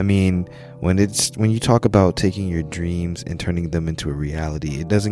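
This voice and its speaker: Over music in the background, a man with a very deep, low pitch speaks with ordinary pitch variation. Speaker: podcast host. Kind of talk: podcast intro.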